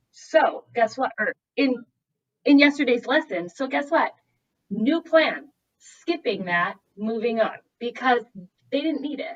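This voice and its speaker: A woman with a Minnesotan accent, high pitch, lively intonation and a fairly slow pace. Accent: Minnesota. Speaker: math specialist, teacher. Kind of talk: casual interview chat.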